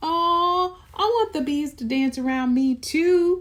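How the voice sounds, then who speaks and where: A put-on character voice, pitched high, moves at a fairly slow pace. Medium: read story. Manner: eager, wide-eyed.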